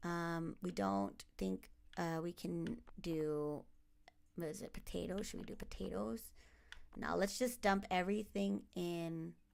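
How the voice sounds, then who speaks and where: Here a woman with an American accent speaks at a fairly slow pace. Her pitch is fairly low, with very wide pitch swings. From United States, partly raised in the Philippines. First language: Tagalog. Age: 30s. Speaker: gaming streamer. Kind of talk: casual let's-play commentary. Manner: hesitant with many fillers.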